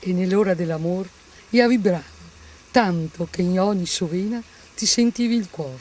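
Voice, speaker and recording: Over noticeable background noise, a woman speaks in a Venetian accent. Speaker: actress. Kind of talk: poetry reading.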